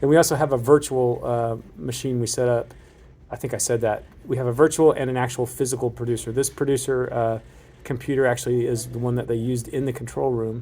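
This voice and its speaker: The voice has a dark, mellow tone, monotone and flat intonation, and a fairly quick pace. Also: man. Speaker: broadcast engineer. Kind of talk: walkthrough tour. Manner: casual with fillers.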